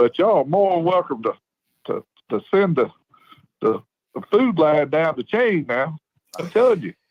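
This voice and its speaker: At a moderate pace with long, frequent pauses, the speaker uses a Southern US accent and very wide pitch swings, recorded with a dry, close sound and no echo. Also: man, high pitch for a man. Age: 60s. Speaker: caller, local football fan. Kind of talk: phone-in chat. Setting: phone call. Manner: animated.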